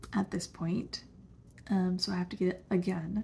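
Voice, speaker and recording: The voice is somewhat breathy, with a dark, mellow tone. It moves at a moderate pace. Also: woman. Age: 30s. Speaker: vlogger with chronic illness. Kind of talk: personal testimony vlog.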